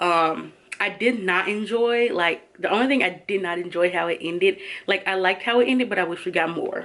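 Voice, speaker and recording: Noticeable background noise sits behind a woman speaking at medium pitch. Her pace is fairly quick, and her pitch varies in an ordinary way. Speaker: book vlogger. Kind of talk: casual vlog wrap-up. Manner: fast.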